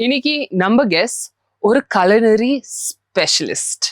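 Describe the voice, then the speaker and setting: A woman speaks at a fairly high pitch with very wide pitch swings. The sound is dry and close, with no echo. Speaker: podcast host. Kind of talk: podcast interview questions.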